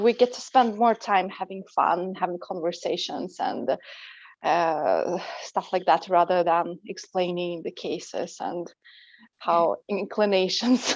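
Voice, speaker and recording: A woman with a Russian accent, medium-pitched, very slow, with ordinary pitch variation, against a quiet background. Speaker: language teacher and coach. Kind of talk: interview.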